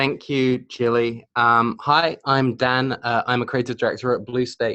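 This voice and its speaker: A man with a British accent talks at a fairly slow pace in a monotone, flat intonation with very even loudness. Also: medium pitch for a man. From Britain. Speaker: creative director at digital agency. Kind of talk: webinar presentation. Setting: online webinar. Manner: hesitant, many fillers.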